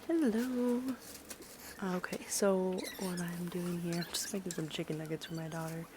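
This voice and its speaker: A quiet woman speaks at a moderate pace with fairly low pitch and ordinary pitch variation. Her pauses are long and frequent. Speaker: stay-at-home mother. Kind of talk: casual vlog voice-over.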